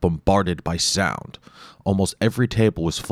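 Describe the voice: Ordinary pitch variation runs through this plain reading aloud.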